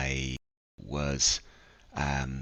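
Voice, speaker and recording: A man speaks with an Irish accent. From Ireland, Dublin. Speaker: DJ and events organizer. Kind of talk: podcast interview. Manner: halting, many fillers.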